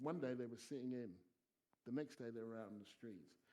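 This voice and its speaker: The speaker has a southern English accent. Pitch varies in an ordinary way. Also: man. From England, Stevenage (Hertfordshire). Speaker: sociology professor and broadcaster. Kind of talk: panel discussion Q&A.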